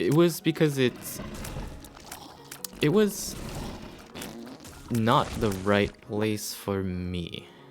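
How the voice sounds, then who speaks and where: A man speaks at a very slow pace and a medium pitch, with pitch swings that are very wide. Long pauses come often, and music plays in the background. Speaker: gaming YouTuber. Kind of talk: casual gameplay commentary. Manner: hesitant, with fillers.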